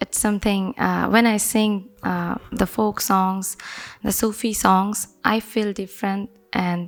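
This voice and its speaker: A woman with a Bangladeshi accent, medium in pitch, at a very slow pace with monotone, flat intonation. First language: Bengali. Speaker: folk singer. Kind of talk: interview. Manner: halting.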